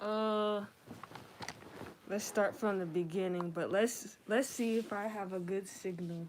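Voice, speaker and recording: Pausing long and often, a woman speaks at a fairly slow pace and medium pitch. Her intonation is fairly even, and there is noticeable background noise. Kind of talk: casual podcast conversation.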